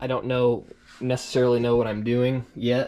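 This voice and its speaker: Man with a medium pitch. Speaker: fishing YouTuber. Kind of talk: tutorial. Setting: garage. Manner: fast.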